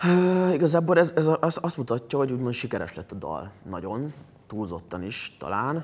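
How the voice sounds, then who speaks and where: The man's voice sits fairly high and moves through very wide pitch swings. He talks at a moderate pace with big swings in loudness. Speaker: singer and former tennis player. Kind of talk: interview chat.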